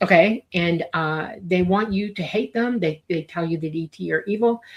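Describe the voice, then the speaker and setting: A woman with a somewhat breathy voice talks at a moderate pace, her medium pitch showing ordinary variation. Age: 60s. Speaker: UFO commentator. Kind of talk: interview.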